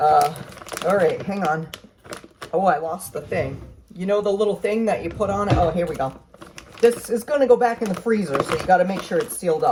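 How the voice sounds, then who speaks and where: With lively intonation and long, frequent pauses, a woman talks at a fairly quick pace over noticeable background noise. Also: medium pitch for a woman. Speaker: home cook vlogger. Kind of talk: cooking tutorial. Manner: fast; casual, rambling with fillers.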